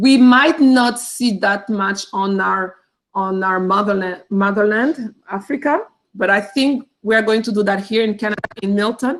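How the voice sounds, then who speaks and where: A woman with a Rwandan accent, medium in pitch, at a fairly slow pace with fairly even intonation. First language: Kinyarwanda. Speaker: teacher. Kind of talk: cultural presentation. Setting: video call. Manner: halting.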